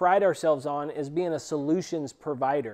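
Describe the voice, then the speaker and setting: A man's dark, mellow tone at a moderate pace, with ordinary pitch variation and a quiet background. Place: workshop. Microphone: lapel.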